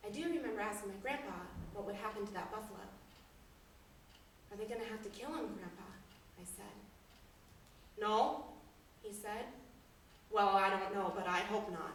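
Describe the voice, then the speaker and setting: In a western US accent, a woman speaks at a moderate pace and medium pitch with ordinary pitch variation, big swings in loudness, long and frequent pauses, and audible room echo. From Wyoming. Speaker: storyteller. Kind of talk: storytelling performance. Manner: animated.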